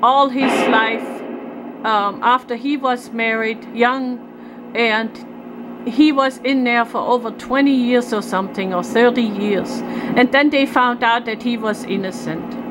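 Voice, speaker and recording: Over noticeable background noise, a woman with a high pitch speaks at a very slow pace with fairly even intonation. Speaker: vlogger filming a neighbor dispute. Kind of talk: emotional personal rant to camera. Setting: outdoors at home near trailer. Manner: loud; agitated.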